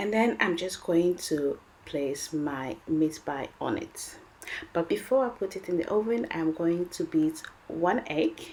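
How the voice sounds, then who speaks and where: With a French accent, a woman speaks at a fairly slow pace and a fairly low pitch with lively intonation, over noticeable background noise. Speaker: cooking video host. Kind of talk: cooking tutorial. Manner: animated.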